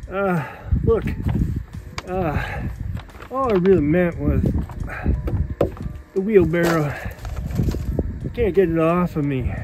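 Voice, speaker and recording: Over noticeable background noise, a man talks in dry sound with no echo. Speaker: skit actor playing two characters. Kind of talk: comedy sketch dialogue. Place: open country.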